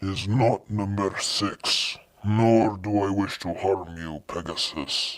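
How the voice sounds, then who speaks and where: In a put-on character voice, a man drawls at a very slow pace, gruff and rumbling at a fairly low pitch, on a very clean recording with a silent background. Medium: read story. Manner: gruff, slow drawl, curt.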